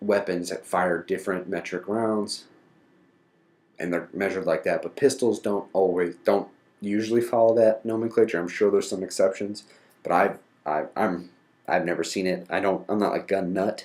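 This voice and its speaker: This man has an unremarkable speaking voice with a fairly low pitch. He talks with an American accent. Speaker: podcast host. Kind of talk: educational podcast monologue.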